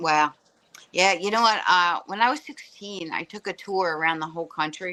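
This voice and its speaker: Fairly low in pitch with a bright, sharp tone, a woman with a Philadelphia accent speaks at a moderate pace with ordinary pitch variation. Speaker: stand-up comedian. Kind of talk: casual chat.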